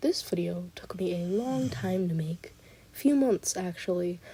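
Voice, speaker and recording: A woman speaks quietly. Her voice is somewhat breathy. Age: young. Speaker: artist and animator. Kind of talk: casual voiceover commentary. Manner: halting, many fillers.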